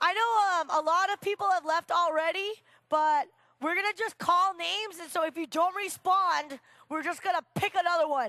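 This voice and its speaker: A raised, projected voice with a bright, sharp tone and an animated delivery comes at a fairly slow pace, dry and close with no echo. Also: woman, extremely high pitch for a woman, ordinary pitch variation. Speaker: co-MC. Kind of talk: emceeing, scripted skit banter. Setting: stage with audience.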